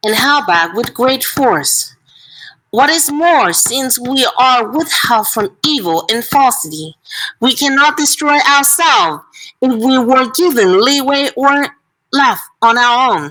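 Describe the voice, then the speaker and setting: A woman's raised, projected, high voice at a very slow pace with lively intonation. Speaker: book club participant. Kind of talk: reading aloud.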